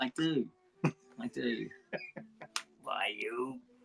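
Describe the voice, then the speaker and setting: Music plays in the background. A man speaks at a fairly high pitch with lively intonation. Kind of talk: casual live stream chat. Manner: mumbly.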